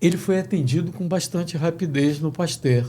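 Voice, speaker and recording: This man's voice is somewhat breathy and dark, mellow in tone, pitched fairly high. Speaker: sports radio announcer. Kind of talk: interview answer.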